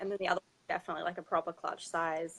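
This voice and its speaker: A woman with an Australian accent is recorded with a dry, close sound and no echo. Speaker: fashion designer. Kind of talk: interview.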